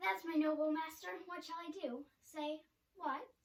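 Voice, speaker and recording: A squeaky, high-pitched put-on character voice at a moderate pace, with a slight echo. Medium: stage play.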